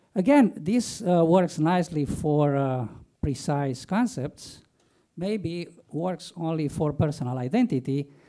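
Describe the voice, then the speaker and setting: On a very clean recording with a silent background, a man speaks at a fairly high pitch in a dark, mellow tone. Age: 60s. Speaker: philosophy professor. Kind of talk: academic lecture. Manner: hesitant, with frequent fillers.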